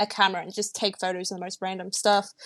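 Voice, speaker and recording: A woman with an Australian accent, in a dry, close sound with no echo. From Australia, Melbourne. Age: young. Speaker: podcast co-host, digital artist. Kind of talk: casual chat.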